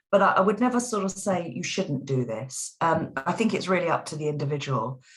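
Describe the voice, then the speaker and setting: A woman's fairly low, somewhat breathy voice at a fairly quick pace, with very wide pitch swings. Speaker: voice teacher. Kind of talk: interview answer.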